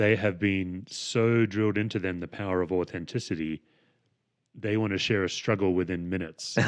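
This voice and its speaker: With an Australian accent, a man speaks at a moderate pace in a very deep, low pitch. The background is quiet. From Western Australia. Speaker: podcast host and pastor. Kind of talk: podcast interview.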